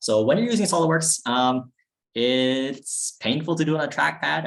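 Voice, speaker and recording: A man is speaking. His intonation is lively. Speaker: university robotics team member teaching CAD. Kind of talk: online tutorial presentation. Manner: fast; casual, filler-heavy.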